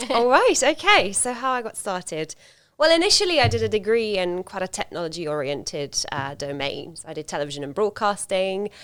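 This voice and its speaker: With a slight Hungarian accent, a woman speaks at a fairly quick pace from a medium pitch, with very wide pitch swings and big swings in loudness. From Hungary. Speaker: solution consultant. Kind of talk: casual chat.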